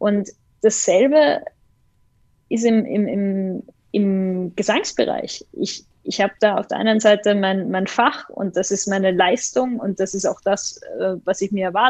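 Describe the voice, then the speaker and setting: Over a quiet background, a woman with an unremarkable speaking voice talks at a fairly slow pace and medium pitch, with ordinary pitch variation. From Austria, Vienna. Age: 20s. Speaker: opera database executive. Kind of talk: interview.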